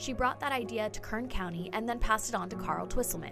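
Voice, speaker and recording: With music in the background, a woman of medium pitch speaks at a very fast pace. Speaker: news anchor and reporter, bilingual host. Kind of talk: TV news anchor delivery. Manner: clear, polished, professional.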